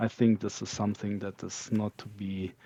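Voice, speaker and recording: Fairly slow and dark, mellow in tone, a man talks with a non-native accent in a dry, close sound with no echo. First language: not English. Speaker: game community candidate. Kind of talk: interview. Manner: halting.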